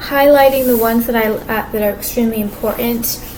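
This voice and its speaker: Soft-spoken and flat in intonation, a woman talks at a fairly high pitch amid noticeable background noise and audible room echo. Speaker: vlogger. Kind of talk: personal video monologue. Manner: halting.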